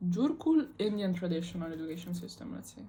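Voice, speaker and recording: Somewhat breathy and dark, mellow in tone, a woman's voice comes through with audible room echo. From Italy. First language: Italian. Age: 18. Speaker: student vlogger. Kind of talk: casual monologue vlog. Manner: casual, many fillers.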